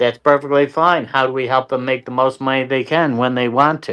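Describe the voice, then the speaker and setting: Here is an unremarkable speaking voice from a man at a medium pitch. His intonation is fairly even and his pace moderate. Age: 60s. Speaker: local political candidate. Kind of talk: interview.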